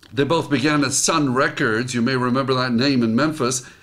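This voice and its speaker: At a moderate pace, a man speaks in a normal speaking voice. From immigrant to the US. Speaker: motivational speaker. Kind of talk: reading own article aloud with comments.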